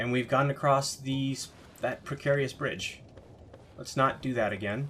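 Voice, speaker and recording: Quiet and fairly slow, a man speaks at a medium pitch. His intonation stays fairly even. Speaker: gaming let's play commentator. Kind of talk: gameplay commentary.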